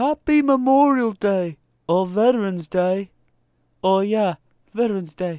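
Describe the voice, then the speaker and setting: In a put-on character voice of middle pitch, the speaker goes at a fairly slow pace with long, frequent pauses. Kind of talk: comedy skit. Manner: barking, commanding.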